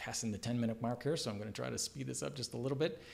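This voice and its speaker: A man's medium-pitched voice with vocal fry and lively intonation. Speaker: executive director giving organization updates. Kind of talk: video update monologue. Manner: fast; hesitant, with fillers and repetitions.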